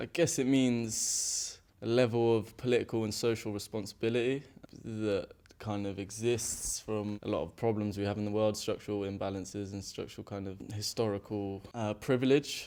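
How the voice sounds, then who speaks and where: In an English accent, a man speaks at a moderate pace and a fairly low pitch. His tone is dark and mellow, with fairly even intonation. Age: young. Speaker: interviewee. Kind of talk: street interview. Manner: halting.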